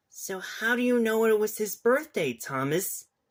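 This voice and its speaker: A put-on character voice comes through at a moderate pace in a fairly high pitch. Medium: read story.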